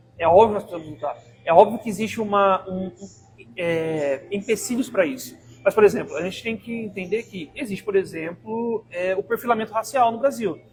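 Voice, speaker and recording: At a fairly quick pace, a man talks with a high pitch, ordinary pitch variation and big swings in loudness. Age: 20s. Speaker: activist and university professor. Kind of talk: podcast interview. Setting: live podcast studio. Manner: halting, many fillers.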